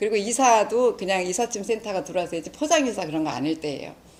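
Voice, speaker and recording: A woman at a medium pitch talks at a very fast pace with lively intonation, over noticeable background noise. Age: 60s. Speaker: lay church evangelist, lecturer. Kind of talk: lecture.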